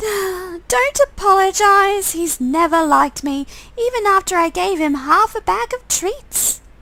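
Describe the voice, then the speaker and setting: A woman's put-on character voice, squeaky and extremely high, raised and projected at a fairly slow pace. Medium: game stream. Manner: warm, chatty.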